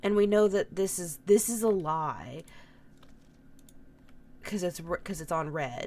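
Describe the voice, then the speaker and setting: A woman's raspy, put-on character voice at medium pitch, fairly slow, with long, frequent pauses. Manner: stuttering.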